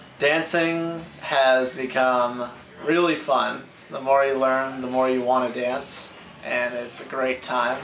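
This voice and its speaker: A man at a medium pitch and a very slow pace, with fairly even intonation, audible room echo and noticeable background noise. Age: 20s. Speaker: dance student. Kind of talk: interview.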